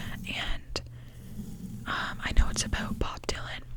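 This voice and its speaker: A woman's whisper at a very slow pace, amid noticeable background noise. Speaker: ASMR creator. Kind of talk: whispered ramble about movies, casual talk to camera. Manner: whispered.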